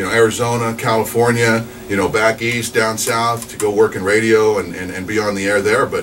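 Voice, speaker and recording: Noticeable background noise runs under the recording. A man talks at a moderate pace with a medium pitch. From New Mexico (Alamogordo). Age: 40s. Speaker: radio DJ. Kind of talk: casual interview.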